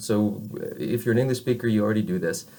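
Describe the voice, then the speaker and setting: A man talks with an American accent. His voice is somewhat breathy. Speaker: French teacher. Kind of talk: lecture. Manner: halting, many fillers.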